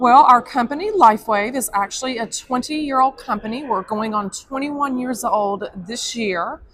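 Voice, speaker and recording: Noticeable background noise sits behind a woman with an American accent speaking at a high pitch and a moderate pace. She has ordinary pitch variation and hardly any pauses. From Texas. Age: 50s. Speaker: product representative. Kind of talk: sales pitch. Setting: convention hall.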